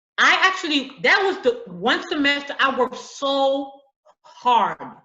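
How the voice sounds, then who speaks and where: With an American accent, a woman speaks at a high pitch that swings very widely. Her loudness stays very even. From US inner city, Haitian family. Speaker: author and teacher. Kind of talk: interview. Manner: halting, repeats words.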